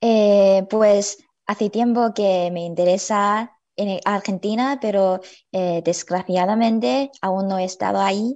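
A woman with a Chinese accent speaks at a very slow pace with fairly even intonation against a quiet background. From China. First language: Chinese (speaking Spanish). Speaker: university student; guest. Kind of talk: panel discussion. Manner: halting, many fillers. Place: home room. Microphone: video call.

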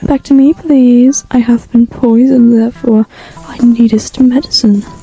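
A woman's whiny, put-on character voice, high in pitch, at a moderate pace with fairly even intonation. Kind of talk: mock archaic speech. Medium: cartoon. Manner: haughty, whiny, attention-seeking.

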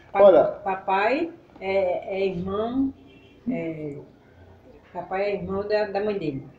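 Amid audible room echo and light background noise, a woman speaks at a very slow pace with long, frequent pauses. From Northeast Brazil, Pernambuco countryside. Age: 70s. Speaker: elderly local resident; interviewee. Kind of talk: interview. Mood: warm, reminiscing. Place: home room. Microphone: camera far.

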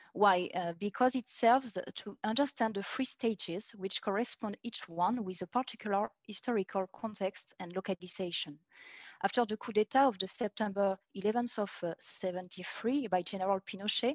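With a French accent, a woman speaks at a moderate pace. Her pitch is medium, with ordinary pitch variation. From France. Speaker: PhD researcher in art history. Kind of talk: academic conference talk. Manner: halting.

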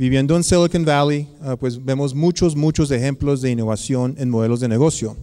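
A man's dark, mellow tone at a fairly quick pace, with fairly even intonation. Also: quiet background. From United States. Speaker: researcher and academic; guest lecturer. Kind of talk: conference lecture. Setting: lecture hall with audience. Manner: halting, many fillers. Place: hall. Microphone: podium.

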